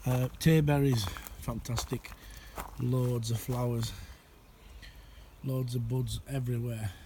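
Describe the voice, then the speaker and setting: Noticeable background noise sits behind a man speaking at a very slow pace. He leaves long, frequent pauses and keeps his intonation fairly even. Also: medium pitch for a man. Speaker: allotment gardener. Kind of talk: casual talk to camera. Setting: outdoors.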